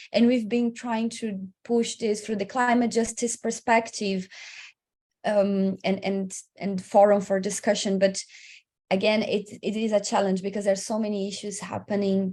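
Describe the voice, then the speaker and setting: A woman speaks in a somewhat breathy voice. Her intonation stays monotone and flat. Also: medium pitch for a woman. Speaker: migration researcher and advocate. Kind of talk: webinar panel talk. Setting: online webinar. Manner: fast; halting.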